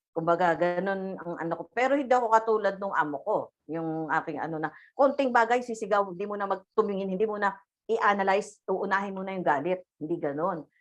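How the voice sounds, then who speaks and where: A woman of medium pitch rattles along at a very fast pace with ordinary pitch variation. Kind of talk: religious talk. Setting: video call. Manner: loud; halting.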